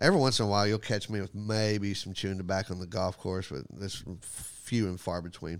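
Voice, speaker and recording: A man with a Texan accent speaks at a fairly quick pace in a fairly low voice, his intonation fairly even, on a very clean recording with a silent background. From Texas, Graham. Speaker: comedian and podcast host. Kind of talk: casual chat.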